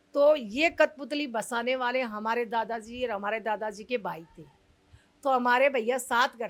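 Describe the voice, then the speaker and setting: A woman's high-pitched voice has a bright, sharp tone and ordinary pitch variation. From Delhi, family from Rajasthan. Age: 60s. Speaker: community leader of puppeteer colony. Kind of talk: interview.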